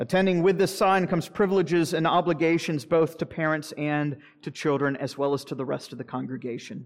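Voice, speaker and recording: A man with an ordinary speaking voice, fairly high in pitch, with ordinary pitch variation, a fairly quick pace and hardly any pauses. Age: 40s. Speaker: pastor. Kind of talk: sermon.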